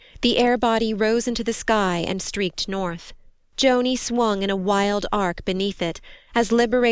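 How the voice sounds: What comes through is a natural reading voice.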